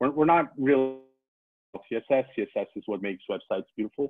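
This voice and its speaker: A man with a Brazilian accent speaks at a fairly quick pace in a medium pitch, with ordinary pitch variation. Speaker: data journalist. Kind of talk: lecture. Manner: halting, many fillers and repeats.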